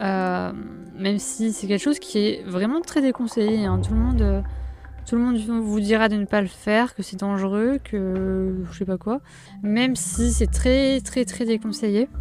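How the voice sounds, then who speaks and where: Noticeable background noise runs beneath a woman who speaks at a fairly slow pace. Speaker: vlogger. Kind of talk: personal vlog. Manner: halting, many fillers.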